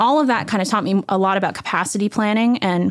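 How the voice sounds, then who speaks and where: A plain, everyday voice from a woman at a fairly quick pace, with ordinary pitch variation, on a very clean recording with a silent background and a dry, close sound with no echo. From Washington DC area. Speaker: vinyl record plant founder. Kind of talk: interview.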